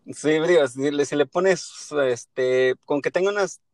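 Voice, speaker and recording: Speaking at a fairly slow pace, a man uses medium pitch with ordinary pitch variation, in a dry, close sound with no echo. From Mexico. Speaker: podcaster. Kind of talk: casual chat. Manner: halting.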